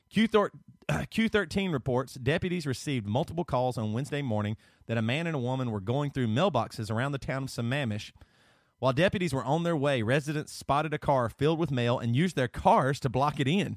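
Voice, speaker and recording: Speaking very fast in a Southern US accent, a man uses a medium pitch, an animated tone and lively intonation, his voice dry and close with no echo. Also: very clean recording, silent background. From US South. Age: 30s. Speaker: podcast co-host. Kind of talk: casual chat.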